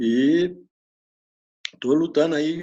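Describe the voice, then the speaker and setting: A man talks in a dark, mellow tone. His intonation is lively. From Minas Gerais, Brazil. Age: 60s. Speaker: retiree. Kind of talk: interview. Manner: halting.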